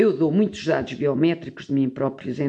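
Her voice is very deep and low, with a dark, mellow tone. Its pitch varies in an ordinary way. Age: 50s. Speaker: sociologist and anthropologist. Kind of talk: interview conversation.

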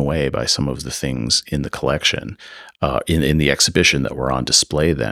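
Very deep, low male voice with vocal fry, an American accent, ordinary pitch variation and a fairly quick pace, in a dry, close sound with no echo. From US Midwest, Chicago area. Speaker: art history professor. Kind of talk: interview.

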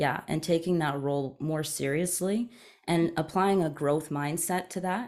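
With a Canadian accent and a fairly low pitch, a woman in an unremarkable speaking voice talks at a fairly slow pace with ordinary pitch variation on a very clean recording with a silent background. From Eastern Canada. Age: 30s. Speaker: journalist and media company founder. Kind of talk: interview conversation.

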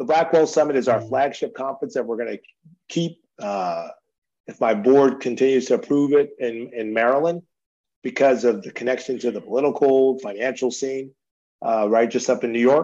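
A man's dark, mellow voice at medium pitch, fairly quick pace and ordinary pitch variation. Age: 50s. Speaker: entrepreneur and author. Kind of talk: interview.

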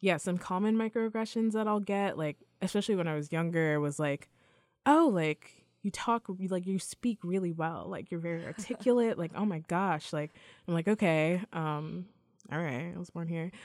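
A woman with a General American accent and a fairly low pitch, moderate pace, ordinary pitch variation, very clean recording and silent background. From New York. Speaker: graduate student and musician. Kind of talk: casual chat. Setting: studio. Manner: animated.

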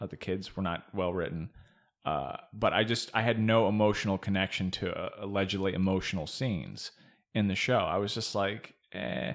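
A man speaks at a fairly low pitch with vocal fry in a very clean recording with a silent background. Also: ordinary pitch variation, moderate pace. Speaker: podcast co-host. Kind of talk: casual chat. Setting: studio. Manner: cadence that sounds angry.

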